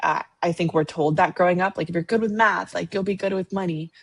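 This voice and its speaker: A woman speaks at a moderate pace with a fairly low pitch and ordinary pitch variation. Her voice is somewhat breathy, with a dry, close sound and no echo. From Latin American immigrant, raised in the US. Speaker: financial planner. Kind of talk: podcast interview.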